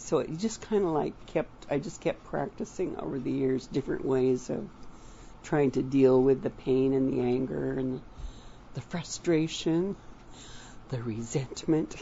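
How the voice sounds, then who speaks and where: Vocal fry runs through this voice with an American accent, which moves at a fairly slow pace with lively intonation. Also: woman, very deep, low pitch for a woman. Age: 80s+. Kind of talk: interview. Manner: halting.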